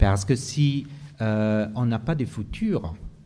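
A man with an Italian accent speaks in a dark, mellow tone. His voice is somewhat breathy. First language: Italian (speaking French). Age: 50s. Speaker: geography professor and writer. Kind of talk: panel discussion. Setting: live venue with audience. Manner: halting.

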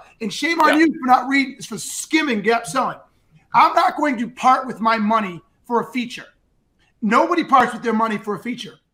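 In a raised, projected voice, a man speaks at a fairly quick pace with an extremely high pitch, a bright, sharp tone and lively intonation. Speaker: sales show host. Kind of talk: live stream interview. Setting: live stream. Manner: animated.

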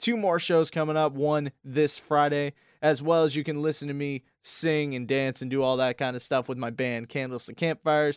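An ordinary speaking voice: a man, fairly high in pitch, at a moderate pace with fairly even intonation. The recording is very clean with a silent background, and the sound is dry and close with no echo. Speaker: college radio co-host. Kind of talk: casual chat. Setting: studio.

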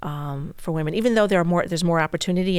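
A woman with an American accent, fairly low in pitch, with fairly even intonation and an ordinary speaking voice. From US Northeast, Brooklyn, New York. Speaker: bank executive. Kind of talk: casual interview. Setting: studio.

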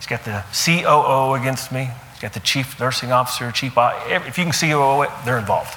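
A man's medium-pitched voice at a moderate pace, with ordinary pitch variation, big swings in loudness and noticeable background noise. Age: 40s. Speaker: guest speaker, anesthesia businessman. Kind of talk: faith-based business talk to a group.

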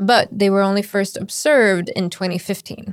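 A woman with an ordinary speaking voice talks at a fairly quick pace and medium pitch in a very clean recording with a silent background. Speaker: podcast co-host, senior editor. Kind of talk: casual chat.

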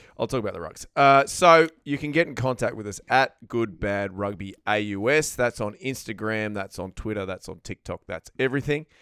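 A man with an Australian accent speaks at a moderate pace in a medium pitch, his bright, sharp tone carrying lively intonation and big swings in loudness, recorded dry and close with no echo on a very clean track with a silent background. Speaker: podcast host. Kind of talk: casual banter. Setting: studio.

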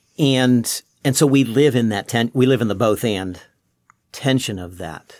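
Over a silent background in a very clean recording, a man talks at a fairly slow pace in an ordinary speaking voice, with medium pitch and ordinary pitch variation. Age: 60s. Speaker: pastor. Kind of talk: casual chat.

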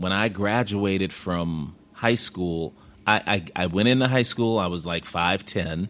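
A man with a very deep, low pitch and an American accent, at a fairly slow pace with ordinary pitch variation. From Chicago South Side. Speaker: former basketball coach. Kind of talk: interview.

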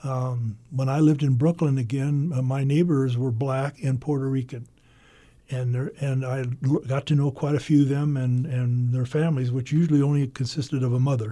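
A man with an American accent speaks at a moderate pace and medium pitch, his somewhat breathy voice dark and mellow in tone with monotone, flat intonation. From Iowa, US Midwest. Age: 80s+. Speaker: painter. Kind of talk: interview. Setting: radio studio.

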